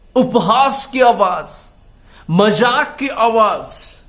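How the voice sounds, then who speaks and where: A man talks over noticeable background noise. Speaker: pastor. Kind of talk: sermon / Bible message. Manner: slow, frequent fillers, switches between English and Hindi.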